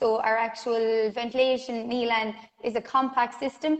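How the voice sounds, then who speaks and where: A woman with an Irish accent speaks at a fairly high pitch in a monotone, flat way. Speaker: self builder. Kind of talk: casual interview.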